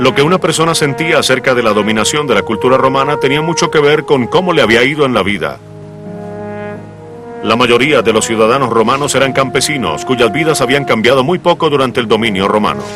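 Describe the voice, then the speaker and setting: Over music in the background, a man talks at a fairly quick pace and medium pitch, with ordinary pitch variation and very even loudness. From Colombia. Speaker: announcer. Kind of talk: documentary narration.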